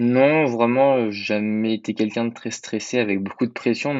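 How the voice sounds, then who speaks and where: A man with an ordinary speaking voice, a moderate pace and fairly even intonation. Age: 20s. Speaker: private detective. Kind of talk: interview.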